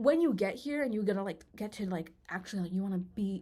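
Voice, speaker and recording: With an American accent, a woman speaks at a medium pitch in a dark, mellow tone. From US. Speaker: singer and YouTuber. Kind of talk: casual vlog monologue. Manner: rambling, filler-heavy; animated.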